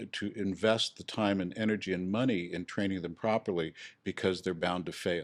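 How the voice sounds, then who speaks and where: The recording is very clean, with a silent background, and a man's fairly low voice moves at a moderate pace. His is an unremarkable speaking voice with fairly even intonation. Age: 60s. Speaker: real estate instructor. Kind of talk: podcast interview.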